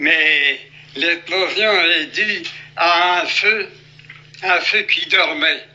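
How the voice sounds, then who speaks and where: With noticeable background noise, a man speaks at a very slow pace and very even loudness, pausing long and often. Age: 80s+. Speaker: retired coal miner. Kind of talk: interview.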